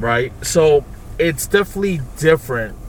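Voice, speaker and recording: Noticeable background noise sits behind a man with a Brooklyn accent who speaks fairly slowly at a fairly high pitch with ordinary pitch variation. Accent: Brooklyn New York. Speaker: podcast host. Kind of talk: casual banter chat. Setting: in a car. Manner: crude, joking, talkative.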